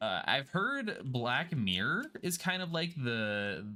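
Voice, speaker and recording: The speaker is a man with a bright, sharp tone. His pitch swings very widely. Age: 20s. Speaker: video game streamer. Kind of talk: casual live-stream chat while gaming. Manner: animated.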